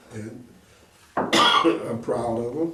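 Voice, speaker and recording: Through audible room echo and noticeable background noise, a man talks with an American accent. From Kansas City, Kansas. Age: 70s. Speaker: retired businessman and community leader. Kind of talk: interview.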